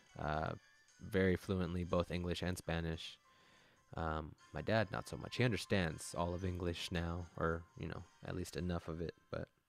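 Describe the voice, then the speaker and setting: The speaker has an American accent and fairly even intonation. Music plays in the background. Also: man. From United States, Mexican family. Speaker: gaming live streamer. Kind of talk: casual chat with live chat. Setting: live stream.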